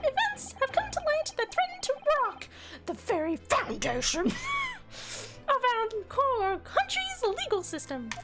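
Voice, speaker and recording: A put-on character voice sounds squeaky at an extremely high pitch. It moves at a fairly slow pace over loud background noise. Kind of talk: formal, official.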